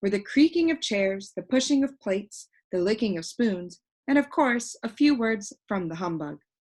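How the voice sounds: Over a quiet background, a natural reading voice carries lively intonation.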